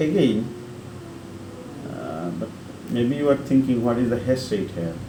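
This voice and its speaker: A man speaks with lively intonation over noticeable background noise, and audible room echo surrounds his voice. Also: medium pitch for a man, fairly slow pace. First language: not English. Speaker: online tutorial creator. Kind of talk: tutorial. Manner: halting, with self-corrections.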